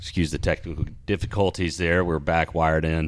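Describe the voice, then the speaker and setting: The speaker talks at a fairly quick pace with a Southern US accent. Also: man. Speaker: podcast host. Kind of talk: casual chat. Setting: studio.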